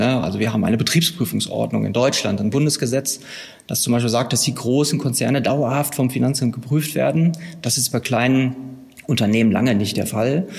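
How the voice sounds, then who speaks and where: The voice carries vocal fry and ordinary pitch variation. It moves at a fairly quick pace. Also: man. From Westphalia, Herford district. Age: 40s. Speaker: tax auditor. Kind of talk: interview. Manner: hesitant with fillers.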